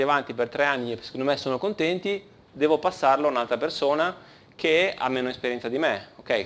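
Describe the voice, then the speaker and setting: At a fairly quick pace, a man speaks with ordinary pitch variation. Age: 30s. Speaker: conference speaker, engineering team leader; conference speaker. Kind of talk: conference talk. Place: hall.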